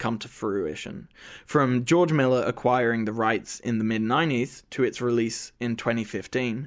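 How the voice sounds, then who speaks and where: A man with an Australian accent and a medium pitch speaks at a fairly slow pace. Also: very clean recording, silent background. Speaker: podcast host, film student. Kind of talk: scripted narration. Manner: stammers.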